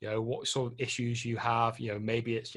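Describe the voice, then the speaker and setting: A man with a British accent speaks in monotone, flat intonation. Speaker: property investment presenter. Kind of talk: webinar presentation. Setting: online webinar. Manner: hesitant with fillers.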